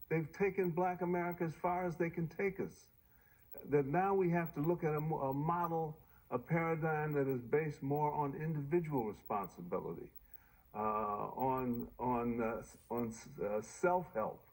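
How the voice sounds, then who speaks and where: This man talks at a moderate pace with lively intonation and a fairly high pitch for a man. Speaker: senior fellow and documentary writer; civil rights advocate. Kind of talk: interview answer. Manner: soft-spoken.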